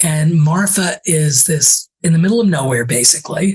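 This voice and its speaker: Somewhat breathy, the voice proceeds at a fairly slow pace with ordinary pitch variation. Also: woman. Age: 70s. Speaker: travel writer and author. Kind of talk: casual interview chat.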